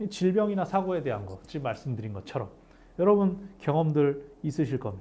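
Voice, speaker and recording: Fairly high in pitch for a man, his somewhat breathy voice has a dark, mellow tone, very wide pitch swings and big swings in loudness at a fairly quick pace. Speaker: pastor. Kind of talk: bible study lecture. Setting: cold recording room. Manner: fast.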